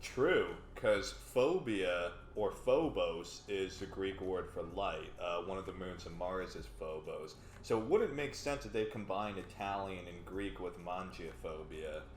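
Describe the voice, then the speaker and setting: A man with a Texan accent talks at a fairly slow pace, with big swings in loudness. Noticeable background noise and audible room echo fill the recording. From Texas. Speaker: game show contestant. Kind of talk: casual chat.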